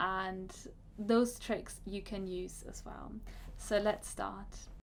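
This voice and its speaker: A woman with a German accent at a very slow pace, with big swings in loudness and audible room echo. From Germany. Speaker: career coach. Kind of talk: vlog talk to camera. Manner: halting, with self-corrections.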